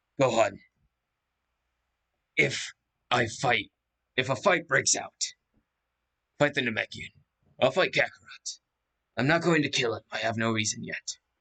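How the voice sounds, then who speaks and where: Using a put-on character voice, a man speaks at medium pitch and a moderate pace, raspy and taking long, frequent pauses, in a dry, close sound with no echo. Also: ordinary pitch variation. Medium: read story.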